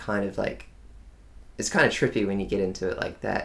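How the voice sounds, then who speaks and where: This man speaks with an Australian accent. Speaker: digital marketing agency owner. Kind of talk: casual chat. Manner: articulate.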